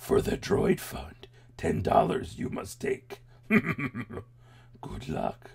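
At a very slow pace, a raspy put-on character voice draws out its words. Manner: croaky, odd word order.

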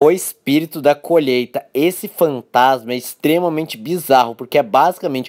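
A man speaks in a normal speaking voice at a moderate pace with a fairly high pitch. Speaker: YouTuber. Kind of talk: scripted narration.

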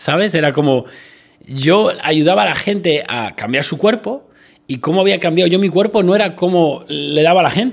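A man with a high pitch and a Spanish accent speaks at a moderate pace with lively intonation. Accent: Peninsular Spanish. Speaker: entrepreneur. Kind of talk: interview chat.

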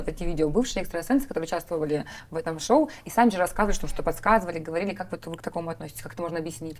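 A woman speaks at a very fast pace with a fairly low pitch. Her intonation is lively, and her loudness swings widely. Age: 30s. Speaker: interviewer. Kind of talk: interview. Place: studio.

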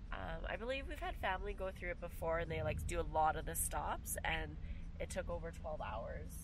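Heard against noticeable background noise, the voice moves at a moderate pace with a dry sound and no echo. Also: woman. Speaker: travel vlogger passenger. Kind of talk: casual vlog chat. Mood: cheerful, excited. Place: car. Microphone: camera far.

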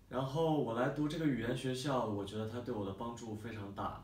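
Audible room echo around a man's voice with ordinary pitch variation. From Beijing, China. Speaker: language school student. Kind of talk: testimonial talk to camera. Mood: calm, positive. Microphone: camera far.

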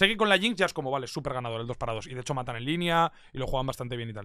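Against a quiet background, a man with a medium-pitched voice talks very fast, and the sound is dry with no echo. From Spain. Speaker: esports commentator. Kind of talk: casual chat. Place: home room. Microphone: studio mic.

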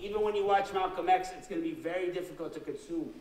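Audible echo from the room and noticeable background noise surround a man's speech. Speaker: guest lecturer. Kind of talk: lecture. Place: hall.

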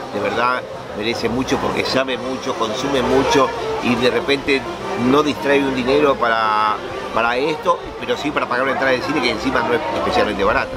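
A man at a fairly quick pace, with clear music in the background. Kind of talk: interview answer. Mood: thoughtful, earnest.

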